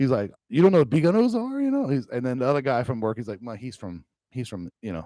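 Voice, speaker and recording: This man talks at a very fast pace with a Cajun accent, his pitch medium and his tone dark and mellow. His intonation is lively, and his loudness swings widely. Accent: Cajun Louisiana English. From Louisiana Cajun country. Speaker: gaming streamer. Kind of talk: casual live stream chat. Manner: rambling casual with many fillers.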